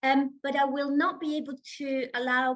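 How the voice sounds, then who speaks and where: With an Italian accent, a woman talks in a high-pitched voice. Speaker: seminar chair. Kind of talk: seminar discussion.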